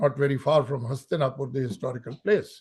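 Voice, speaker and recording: His voice has a somewhat breathy quality. The man's pitch is fairly high. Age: 70s. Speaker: guest speaker on security. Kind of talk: lecture.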